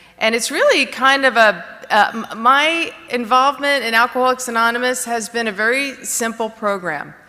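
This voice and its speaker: With a New Jersey accent, the speaker keeps a moderate pace with hardly any pauses and ordinary pitch variation over noticeable background noise. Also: woman, high pitch for a woman. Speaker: recovery speaker. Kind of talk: testimony. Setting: stage with audience. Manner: halting, many fillers.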